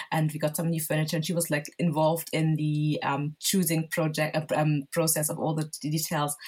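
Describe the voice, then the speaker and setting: Over a silent background in a very clean recording, a woman with a very deep, low pitch talks at a moderate pace in a somewhat breathy, monotone, flat way, with hardly any pauses. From southern Germany, Nigerian parents. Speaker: homeware brand owner. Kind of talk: casual interview.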